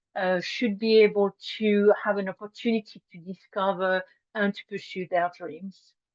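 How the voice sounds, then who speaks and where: A woman speaks in a French accent at a medium pitch. Her pace is very slow. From France, Brittany. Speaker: nonprofit co-founder. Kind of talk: presentation. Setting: video call. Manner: halting, many fillers.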